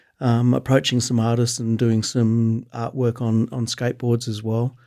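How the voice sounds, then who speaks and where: A man with an Australian accent talks at a moderate pace and medium pitch in a dark, mellow tone, on a very clean recording with a silent background. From Canberra, Australia. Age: 50s. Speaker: skate photographer. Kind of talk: casual chat.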